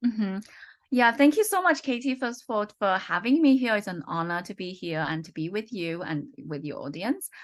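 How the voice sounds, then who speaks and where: A woman's fairly high voice at a moderate pace, with very wide pitch swings and big swings in loudness over a quiet background. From UK. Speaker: economist and researcher. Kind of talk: interview. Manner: halting, many fillers.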